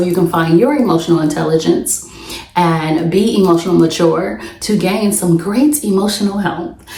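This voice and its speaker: A woman's fairly low voice with ordinary pitch variation at a moderate pace, with audible room echo and noticeable background noise. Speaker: podcast host. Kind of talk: solo podcast monologue.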